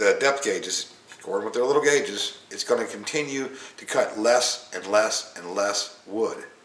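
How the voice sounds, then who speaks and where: Man speaking, room echo audible. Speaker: hobbyist instructor. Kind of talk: tutorial. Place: workshop. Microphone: camera far.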